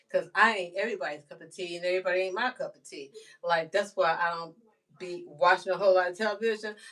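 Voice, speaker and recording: A woman at medium pitch, fairly quick and animated in tone. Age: 60s. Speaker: livestreamer. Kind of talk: casual livestream monologue. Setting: live stream.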